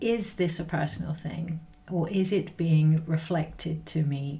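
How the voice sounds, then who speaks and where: A somewhat breathy woman's voice at a fairly low pitch. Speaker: spiritual energy reader. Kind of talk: casual spiritual reading talk. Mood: calm, reflective, some laughs. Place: home room. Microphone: webcam.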